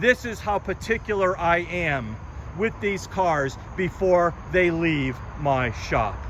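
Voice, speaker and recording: Against noticeable background noise, a man talks very slowly at a high pitch with lively intonation. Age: 60s. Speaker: classic car dealer and mechanic. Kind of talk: sales pitch. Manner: animated.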